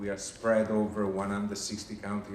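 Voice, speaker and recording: A man speaks in an Italian accent at a fairly low pitch. Noticeable background noise and audible room echo surround him. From Italy. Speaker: HR manager at international organization. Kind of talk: recruitment presentation. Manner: hesitant with frequent fillers.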